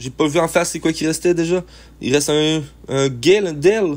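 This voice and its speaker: Speaking with a Quebec accent, a man uses a fairly high pitch, ordinary pitch variation and a moderate pace. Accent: Québécois French. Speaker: gaming youtuber. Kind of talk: gameplay commentary. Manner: animated.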